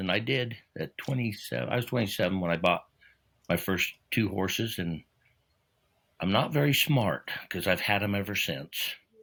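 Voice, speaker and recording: On a very clean recording with a silent background, a man talks at a fairly quick pace with lively intonation. His fairly low voice carries a bright, sharp tone. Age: 60s. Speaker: truck driver and horse rider. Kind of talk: casual chat. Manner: halting.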